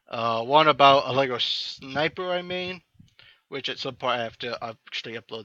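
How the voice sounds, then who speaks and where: With an American accent, the speaker has a bright, sharp tone and ordinary pitch variation at a moderate pace. The sound is dry and close, without echo. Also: man, quiet background. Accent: slight accent, sometimes taken as British. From Iowa, US Midwest. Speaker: gaming YouTuber. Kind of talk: casual gameplay commentary. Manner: many fillers, hesitant.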